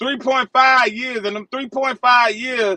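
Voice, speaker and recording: A man's raised, projected voice, extremely high in pitch, bright and sharp in tone, with a dry, close sound and no echo. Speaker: truck driver. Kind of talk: heated debate. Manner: loud.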